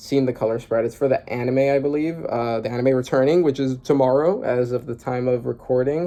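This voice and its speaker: This man talks at a fairly quick pace, his medium-pitched voice dark and mellow in tone. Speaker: manga reaction youtuber. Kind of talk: casual reaction commentary. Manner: fast; animated.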